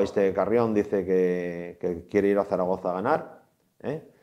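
Against a quiet background, a man speaks at a moderate pace, his pitch varying in an ordinary way. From Asturias, Trubia; Asturias. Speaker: former footballer. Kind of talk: interview. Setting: studio. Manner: halting. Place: studio. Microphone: lapel.

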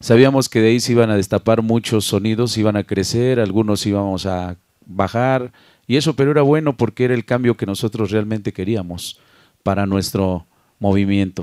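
Speaking at a moderate pace against a quiet background, a man uses a fairly low pitch with ordinary variation, the sound dry with no echo. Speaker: sound system DJ. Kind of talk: casual interview. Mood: reflective, calm. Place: home room. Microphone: handheld.

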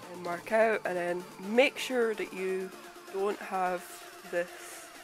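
Music plays in the background while the speech moves at a very slow pace. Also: woman. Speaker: video editor. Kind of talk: software tutorial narration. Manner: casual, conversational.

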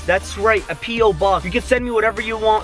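A man at a high pitch and fairly quick pace with fairly even intonation, a dry sound with no echo, and faint music in the background. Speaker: vlogger. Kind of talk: casual vlog chat.

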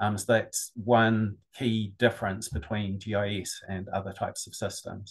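A man with a New Zealand accent speaks at a fairly slow pace, somewhat breathy, with hardly any pauses. His intonation is fairly even, and the background is quiet. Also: fairly low pitch for a man. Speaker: GIS business consultant; webinar presenter. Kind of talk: webinar presentation.

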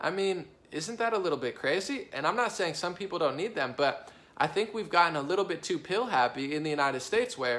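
A man speaks with lively intonation. His pace is fairly quick. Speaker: vlogger. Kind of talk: casual vlog opinion talk. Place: home room. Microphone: phone near.

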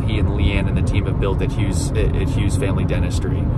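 A man's voice comes through dry, with no echo. Loud background noise runs behind him. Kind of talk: casual vlog chat. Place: car. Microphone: phone near.

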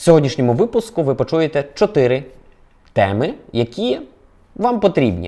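Dark and mellow in tone, a man speaks at a moderate pace. His pitch swings very widely. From Ukraine, Volyn. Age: 30s. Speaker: video blogger. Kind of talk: news vlog monologue.

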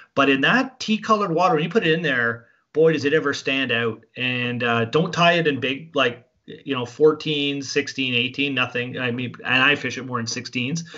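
A man speaks at a moderate pace against a quiet background. His voice is fairly high, with ordinary pitch variation. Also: hardly any pauses. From Canada. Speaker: fly fishing guide and instructor; fly fishing guide, instructor. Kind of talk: tutorial. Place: home room. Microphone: video call.

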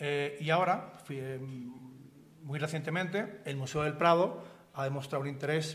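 This man's voice is somewhat breathy and fairly high in pitch, with ordinary pitch variation. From Spain, Seville; Spain. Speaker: art dealer; panelist. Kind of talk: lecture. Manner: halting. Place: hall. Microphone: podium.

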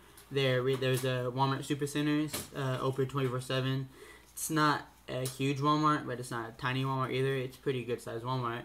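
Light background noise sits under a man speaking at a fairly quick pace, medium in pitch with monotone, flat intonation. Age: young. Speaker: vlogger, college student; college student vlogger. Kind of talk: casual vlog monologue. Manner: halting, many fillers. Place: home room. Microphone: webcam.

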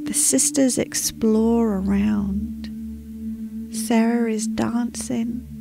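Clear music plays in the background as a woman speaks very slowly in a calm, soothing tone, the sound dry with no echo. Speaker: meditation guide. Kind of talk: guided meditation narration. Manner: calm, soothing, slow. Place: home room. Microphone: studio mic.

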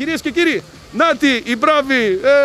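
Over noticeable background noise, a man with an extremely high pitch uses a raised, projected voice, an animated tone and lively intonation. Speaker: festival presenter and video reporter. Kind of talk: live on-location reporting with street interviews. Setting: outdoors at riverside hot springs festival.

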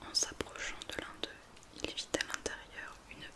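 A woman whispers very slowly. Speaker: ASMR content creator. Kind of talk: whispered fairy-tale reading for ASMR. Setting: studio mic with rain and thunderstorm sounds in background. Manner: whispered, soft, slow. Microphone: studio mic.

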